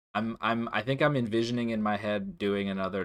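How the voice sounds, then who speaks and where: A man's fairly low voice at a fairly quick pace with ordinary pitch variation, on a very clean recording with a silent background. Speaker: gamer. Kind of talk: gameplay commentary. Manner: halting.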